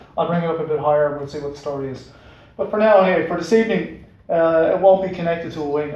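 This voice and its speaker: The delivery is very rapid, from a man. An audible echo fills the room. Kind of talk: casual explanatory vlog talk. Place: garage. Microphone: camera far.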